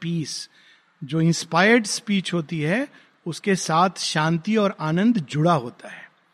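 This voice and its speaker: With lively intonation, a man speaks in a high voice. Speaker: spiritual teacher. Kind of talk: lecture. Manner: halting.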